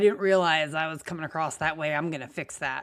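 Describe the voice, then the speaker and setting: A woman talks at a fairly quick pace. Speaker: business strategist podcast host. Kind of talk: casual podcast conversation. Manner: fast; high energy.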